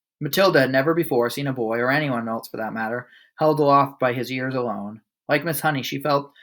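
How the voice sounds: Natural reading voice, normal pitch movement, and a quiet backdrop.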